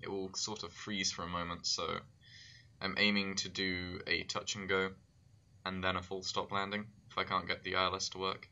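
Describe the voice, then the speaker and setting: In a British accent, a man speaks at a moderate pace with a very deep, low pitch and monotone, flat intonation. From United Kingdom. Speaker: flight sim streamer. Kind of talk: live gameplay commentary.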